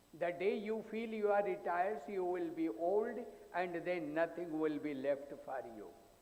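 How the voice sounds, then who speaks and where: A man talks at a fairly slow pace with a high pitch and lively intonation. Noticeable background noise and audible room echo surround his voice. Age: 80s+. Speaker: psychologist. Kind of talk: conference talk.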